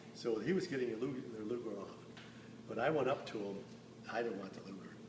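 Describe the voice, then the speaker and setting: A man talking at a very fast pace amid noticeable background noise and audible room echo. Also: medium pitch for a man, ordinary pitch variation. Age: 80s+. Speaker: war veteran. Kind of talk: testimony. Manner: halting.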